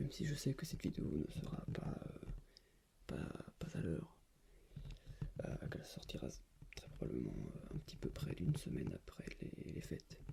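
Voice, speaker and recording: A man whispers at a moderate pace, with long, frequent pauses. Noticeable background noise runs underneath. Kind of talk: ASMR object show-and-tell. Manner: soft-spoken, whispered.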